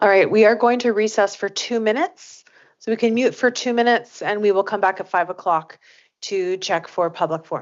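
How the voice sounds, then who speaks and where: A woman's fairly high voice, an unremarkable speaking voice, at a fairly quick pace with ordinary pitch variation. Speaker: school board chair. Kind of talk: formal meeting chairing. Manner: formal.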